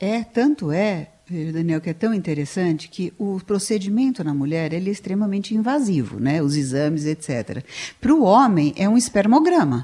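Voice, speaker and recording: A woman speaks at a moderate pace in a medium pitch, her dark, mellow tone moving through very wide pitch swings. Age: 60s. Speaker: psychologist. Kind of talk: radio interview.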